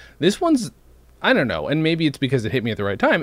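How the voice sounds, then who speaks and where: This is a man's voice. It carries vocal fry. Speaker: podcast co-host. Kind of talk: casual chat.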